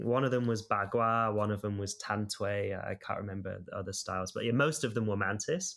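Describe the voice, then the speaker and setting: A man's ordinary speaking voice, medium in pitch, at a moderate pace. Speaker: martial arts practitioner and video creator. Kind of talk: interview.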